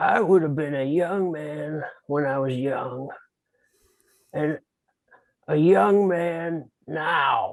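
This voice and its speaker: A man with a fairly high pitch uses a put-on character voice. He talks at a very slow pace with long, frequent pauses. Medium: stage play. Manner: hesitant, mild.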